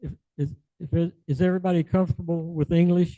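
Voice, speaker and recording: The man's tone is dark and mellow. His voice sounds dry and close, with no echo. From US South. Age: 80s+. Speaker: business founder and conference speaker. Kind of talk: conference talk.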